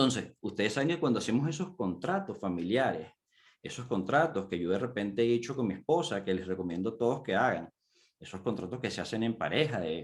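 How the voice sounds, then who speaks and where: Speaking at a medium pitch and moderate pace, the man lets his pitch swing very widely. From Venezuela. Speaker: coach, conference speaker. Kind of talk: conference talk. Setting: virtual conference.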